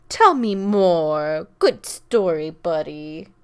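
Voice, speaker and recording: In a very clean recording with a silent background, a woman uses a put-on character voice at a fairly low pitch and a very slow pace. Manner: cutesy, mock-affectionate.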